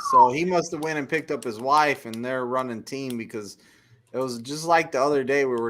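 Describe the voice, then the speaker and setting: Here a man talks at a fairly quick pace with a Texan accent. His pitch is medium, with ordinary pitch variation. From Texas. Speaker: truck driver, live stream host. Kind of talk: live stream chat.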